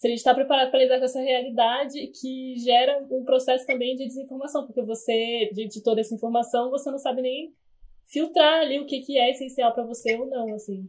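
A high-pitched woman speaks at a fairly quick pace with fairly even intonation. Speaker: podcast host, journalism student. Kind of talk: interview; scripted narration.

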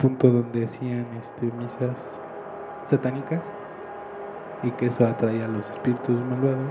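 A man at a medium pitch speaks at a fairly slow pace in a flat monotone, with long, frequent pauses and noticeable background noise. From Mexico City outskirts. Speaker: podcast co-host. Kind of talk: casual chat; storytelling.

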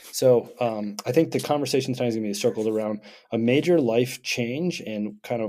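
The voice has an American accent and an upbeat, dark, mellow tone. It moves at a moderate pace with ordinary pitch variation. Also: man. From Vermont, US. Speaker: podcast co-host. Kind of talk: casual podcast conversation. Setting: remote recording. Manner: extroverted, upbeat.

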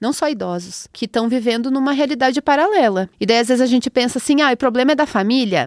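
Very fast and with hardly any pauses, a woman talks in a high pitch with ordinary pitch variation, the sound dry and close with no echo on a very clean recording with a silent background. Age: 30s. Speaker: astrologer and podcast host. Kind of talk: casual chat.

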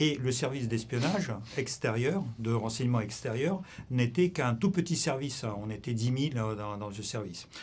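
With a Russian accent, a man speaks at a moderate pace and medium pitch, his somewhat breathy voice carrying lively intonation. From Russia (Soviet Union). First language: Russian (speaking French). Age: 60s. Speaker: former intelligence officer. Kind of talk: interview. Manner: halting.

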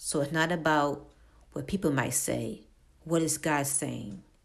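A woman talks at a very deep, low pitch with vocal fry. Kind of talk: devotional monologue. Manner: halting.

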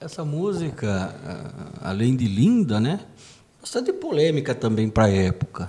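This man's medium-pitched voice swings very widely in pitch, at a fairly slow pace with long, frequent pauses. Noticeable background noise runs underneath. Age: 50s. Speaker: podcast co-host, union director. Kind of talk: casual music discussion.

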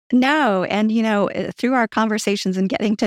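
Speaking at a moderate pace and medium pitch with a Southern US accent, a woman comes through in a very clean recording with a silent background, the sound dry and close with no echo. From Louisiana, US South. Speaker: marketing executive. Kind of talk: interview about personal money story.

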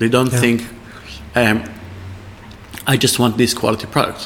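A man talks while noticeable background noise is audible. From Israel. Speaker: chef and restaurant owner. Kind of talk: interview over a tasting menu. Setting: in a restaurant. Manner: halting, many fillers.

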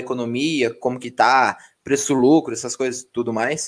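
A man with a normal speaking voice talks fairly slowly at a medium pitch with fairly even intonation, on a very clean recording with a silent background. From Mogi, greater São Paulo. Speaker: podcast host, engineer. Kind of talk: casual chat.

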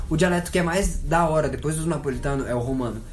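There is noticeable background noise and audible room echo as a man talks at a fairly high pitch with ordinary pitch variation. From Italy, Caserta and Aversa area. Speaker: podcast guest. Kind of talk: casual chat.

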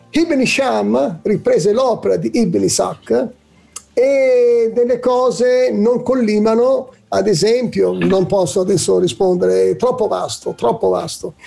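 At a very slow pace, a man speaks with very even loudness. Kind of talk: religious talk show discussion. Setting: studio.

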